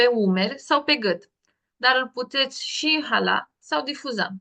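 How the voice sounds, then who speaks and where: A woman with a high voice talks fairly slowly, her pitch varying in an ordinary way. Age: 20s. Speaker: essential oils presenter. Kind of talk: online workshop presentation.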